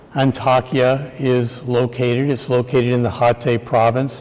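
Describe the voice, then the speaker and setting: In an American accent, the speaker goes at a very slow pace over noticeable background noise. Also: man. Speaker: structural engineer. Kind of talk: conference lecture. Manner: hesitant, many fillers.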